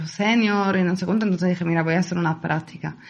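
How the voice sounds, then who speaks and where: Talking at a very fast pace, a woman with a medium pitch sounds somewhat breathy and keeps her intonation fairly even. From Italy, Palermo, Sicily. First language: Italian (speaking Spanish). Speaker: photographer and set designer. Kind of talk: casual interview.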